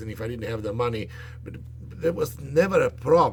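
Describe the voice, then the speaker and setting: A man's lively intonation against noticeable background noise. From Yugoslavia. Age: 60s. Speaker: vlogger. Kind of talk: personal monologue vlog. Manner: calm, not screaming; halting, many fillers.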